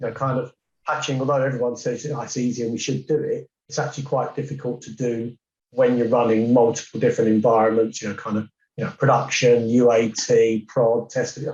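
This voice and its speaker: A fairly quick, somewhat breathy man's voice at medium pitch, with fairly even intonation. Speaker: cybersecurity director. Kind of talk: podcast discussion.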